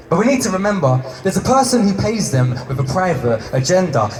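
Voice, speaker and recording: Over noticeable background noise, a man talks at a moderate pace, his fairly high pitch swinging very widely. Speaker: spoken word poet; activist. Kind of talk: spoken word poetry performance. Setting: live performance venue.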